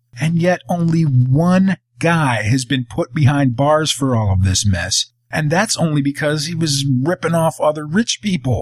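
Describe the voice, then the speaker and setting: A man speaks at a fairly slow pace in a fairly high, somewhat breathy voice, with lively intonation and hardly any pauses. The sound is dry and close, with no echo. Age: 40s. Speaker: podcast host. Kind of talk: monologue rant.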